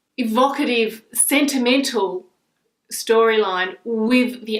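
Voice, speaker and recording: A woman speaks with an Australian accent. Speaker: book vlogger. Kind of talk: casual talk to camera, book review.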